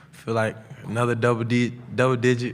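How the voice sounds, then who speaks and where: A man speaks at a fairly slow pace in a monotone, flat intonation, with audible room echo around him. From US South, Atlanta, Georgia. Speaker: college football player. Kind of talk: press conference Q&A. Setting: media day press room. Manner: loud.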